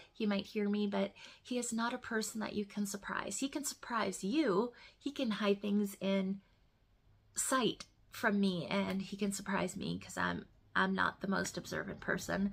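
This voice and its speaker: A quiet, somewhat breathy woman's voice at medium pitch, with fairly even intonation and a moderate pace. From northern Ontario, Canada. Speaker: knitting podcaster. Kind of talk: casual chat. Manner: speaking quietly.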